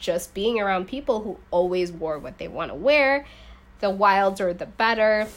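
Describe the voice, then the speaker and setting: This woman has an unremarkable speaking voice. She talks with an American accent. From US Midwest, rural suburbs of Chicago. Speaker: fashion entrepreneur and former stylist. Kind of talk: casual interview. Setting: evening podcast recording.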